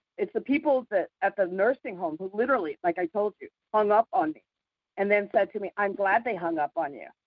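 In a normal speaking voice, a woman talks at a fairly quick pace with medium pitch, lively intonation and big swings in loudness. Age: 50s. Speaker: community call participant. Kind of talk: casual chat.

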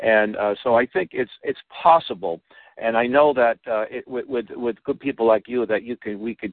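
The man has a plain, everyday voice at medium pitch. He speaks at a moderate pace with ordinary pitch variation. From Boston, Massachusetts. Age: 60s. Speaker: radio host. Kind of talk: interview.

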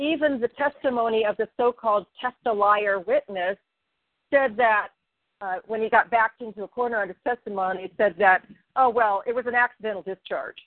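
A woman talks in an unremarkable speaking voice with ordinary pitch variation. Her pitch is fairly high. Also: fairly quick pace. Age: 60s. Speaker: grassroots legal activist. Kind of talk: casual group discussion.

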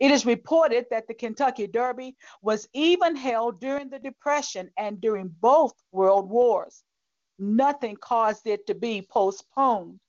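A woman with an ordinary speaking voice, fairly high in pitch, in an American accent at a fairly slow pace. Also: ordinary pitch variation. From US South. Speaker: pastor. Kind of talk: sermon.

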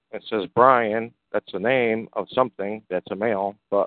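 Here a man with an unremarkable speaking voice talks at a moderate pace and medium pitch, with ordinary pitch variation. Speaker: discussion group host. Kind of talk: live community call discussion.

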